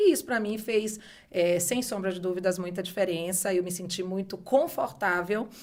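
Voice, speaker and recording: On a very clean recording with total silence around it, the talking keeps a moderate speed. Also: woman. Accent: northeastern Brazilian. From Brazil, Bahia (Salvador). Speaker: beauty entrepreneur, former university professor. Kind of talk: podcast interview.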